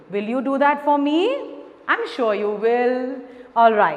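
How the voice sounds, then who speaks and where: Amid noticeable background noise and audible room echo, a woman with a high pitch speaks at a very slow pace. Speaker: school teacher. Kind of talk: online lesson for children.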